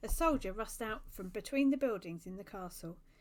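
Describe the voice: Lively intonation throughout plain reading aloud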